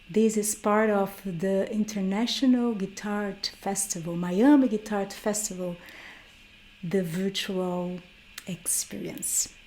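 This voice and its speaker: A woman with a Brazilian Portuguese accent speaks fairly slowly at a medium pitch, her dark, mellow tone carrying fairly even intonation. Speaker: guitarist and workshop teacher. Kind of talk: online workshop lecture.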